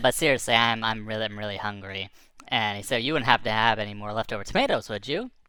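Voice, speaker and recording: A put-on character voice at a low pitch rattles along at a very fast pace. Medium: read story. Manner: casual, friendly.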